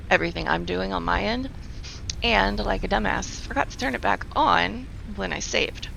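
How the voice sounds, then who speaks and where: The speaker moves at a fairly quick pace over noticeable background noise. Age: 40s. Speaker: video game streamer. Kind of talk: casual live stream commentary. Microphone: echo; quiet at first, filter adjusted to louder.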